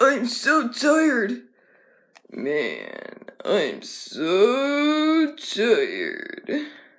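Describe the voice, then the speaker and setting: A high-pitched, cartoonish character voice speaks at a very slow pace. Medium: puppet.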